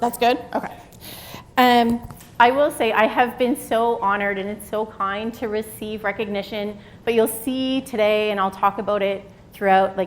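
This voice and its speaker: Noticeable background noise behind a woman's fairly high-pitched voice. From Atlantic Canada, Halifax. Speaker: psychology professor, keynote speaker. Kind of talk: keynote lecture. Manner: energetic.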